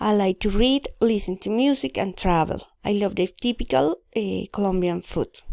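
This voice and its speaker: In a dry, close sound with no echo and a very clean recording over a silent background, a woman speaks at a moderate pace and medium pitch with a dark, mellow tone. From Colombia, Bogotá. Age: 30s. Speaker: student. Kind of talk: reading aloud. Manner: halting.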